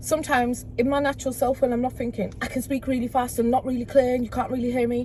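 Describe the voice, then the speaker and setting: Very fast and with hardly any pauses, a woman with a high pitch speaks in a Teesside accent, her intonation flat and monotone. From northern England, Middlesbrough. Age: 30s. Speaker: community activist. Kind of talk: casual chat.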